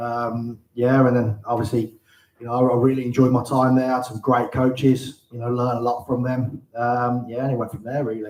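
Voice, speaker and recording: A man talks at a fairly quick pace in a medium pitch. His intonation is monotone and flat. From Birmingham, England. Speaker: football manager, former player. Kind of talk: live interview in front of an audience. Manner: hesitant, many fillers.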